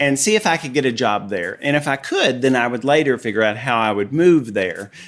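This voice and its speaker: On a very clean recording with a silent background, the speaker uses a Southern US accent with ordinary pitch variation. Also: man. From Tennessee. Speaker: artist and former costume designer. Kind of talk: casual chat.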